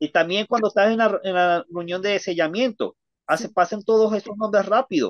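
Over a quiet background, a man with a high pitch and ordinary pitch variation speaks at a fairly quick pace in a dry sound with no echo. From Venezuela. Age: 30s. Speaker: ex-member of a church sharing his story; interview guest. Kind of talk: testimony. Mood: indignant, earnest. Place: home room. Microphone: video call.

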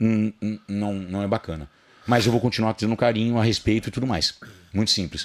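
At a fairly quick pace but with long, frequent pauses, a man talks in a fairly low pitch with fairly even intonation. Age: 50s. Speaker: fitness personality; podcast guest. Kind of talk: podcast interview, casual chat. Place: studio. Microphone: studio mic.

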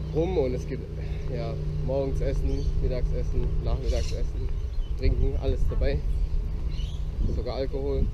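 A man speaks at a fairly slow pace with long, frequent pauses. The sound is dry with no echo, over loud background noise. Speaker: travel vlogger. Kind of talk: casual vlog chat. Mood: excited, upbeat. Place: street. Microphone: phone near.

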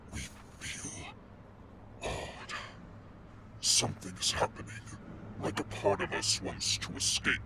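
A man puts on a character voice, fairly low in pitch and fairly slow, with long, frequent pauses and clear background noise. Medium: audio drama. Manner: uneasy, then eager and menacing.

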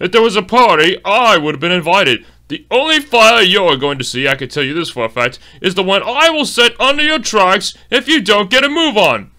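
A man's raised, projected, put-on character voice, high in pitch and fairly quick, with very wide pitch swings. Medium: dub. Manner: haughty, disdainful.

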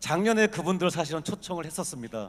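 A man's voice, high in pitch. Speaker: business executive. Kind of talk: conference talk.

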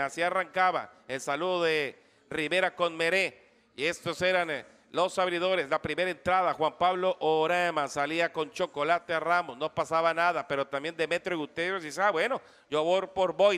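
With fairly even intonation and a high pitch, a man talks at a fairly slow pace on a very clean recording with a silent background. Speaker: sports broadcaster. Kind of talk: live sports commentary, baseball game recap. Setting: radio broadcast.

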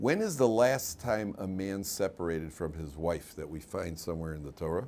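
Over light background noise, a man with a very deep, low voice speaks with lively intonation. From US Midwest (Chicago). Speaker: rabbi and Torah teacher; rabbi, Torah teacher. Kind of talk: lecture. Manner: conversational, interactive with audience. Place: classroom.

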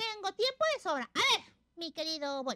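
A cartoonish character voice with a bright, sharp tone and big pitch swings moves at a moderate pace in a dry, close sound with no echo.

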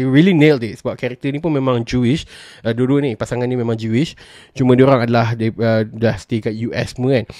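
A dark, mellow tone at a fairly quick pace, dry with no echo, over a quiet background. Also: man. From Malaysia. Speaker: film and TV reviewer; TV reviewer. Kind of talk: solo review vlog. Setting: solo recording, audio only. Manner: casual with frequent fillers and code-switching. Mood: relaxed, enthusiastic. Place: home room. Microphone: studio mic.

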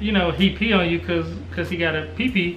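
A man with an American accent talks amid light background noise and audible room echo. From US South. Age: 20s. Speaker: family vlogger. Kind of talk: casual chat. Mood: relaxed, upbeat. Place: home room. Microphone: camera far.

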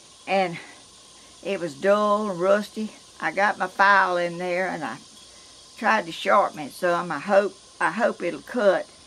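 With a Georgia accent, a woman speaks at a fairly slow pace with long, frequent pauses and ordinary pitch variation over light background noise. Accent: Southern US, Georgia. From US South. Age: 80s+. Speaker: vlogger. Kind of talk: casual vlog talk; casual vlog chat. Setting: outdoors. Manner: halting. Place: garden. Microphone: camera far.

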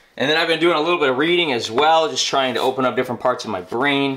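The delivery is very fast, with an energetic tone and ordinary pitch variation. Room echo is audible. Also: man. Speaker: streamer and video creator; vlogger. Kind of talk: casual vlog house tour. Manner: casual, energetic. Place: home room. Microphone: phone near.

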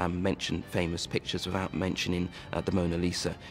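Faint music plays behind a man with a very deep, low voice. He speaks at a fairly quick pace. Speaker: art historian at a national gallery. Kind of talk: TV documentary interview answer. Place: hall. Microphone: lapel.

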